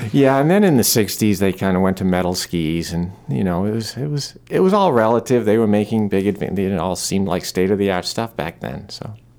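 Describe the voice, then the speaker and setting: Noticeable background noise sits behind a man with a fairly low pitch and ordinary pitch variation. He talks at a fairly quick pace with hardly any pauses. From Maine, Newport. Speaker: motorcycle dealer. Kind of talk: casual interview. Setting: studio.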